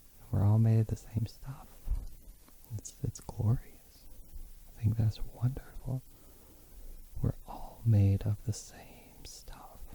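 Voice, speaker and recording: A soft-spoken man at a medium pitch, very slow and monotone, with flat intonation, long and frequent pauses, big swings in loudness, a dark, mellow tone and a somewhat breathy quality. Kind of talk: soft-spoken ASMR talk; unscripted casual musing.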